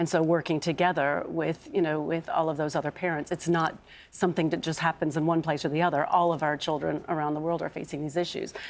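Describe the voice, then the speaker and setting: In an American accent, a woman speaks at a very fast pace with hardly any pauses, using a very deep, low pitch and monotone, flat intonation in a very clean recording with a silent background. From North America. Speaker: bereaved parent campaigner. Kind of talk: TV interview. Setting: TV studio sofa. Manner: halting.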